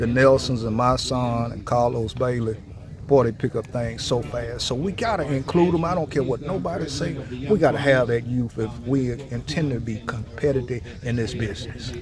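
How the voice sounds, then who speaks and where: Over noticeable background noise, a man of medium pitch speaks at a moderate pace with ordinary pitch variation. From Louisiana. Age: 60s. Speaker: farmer. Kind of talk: interview. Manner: casual, relaxed.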